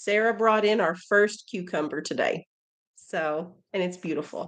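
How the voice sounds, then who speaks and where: A woman speaks at a fairly slow pace with fairly even intonation. It is a normal speaking voice. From Missouri. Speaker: homesteader and family channel host. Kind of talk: casual live-stream Q&A.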